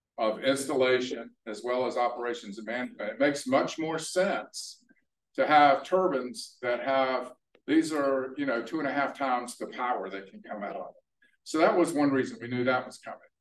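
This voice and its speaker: A man at a moderate pace with ordinary pitch variation, big swings in loudness and audible room echo. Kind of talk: presentation talk. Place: hall. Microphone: camera far.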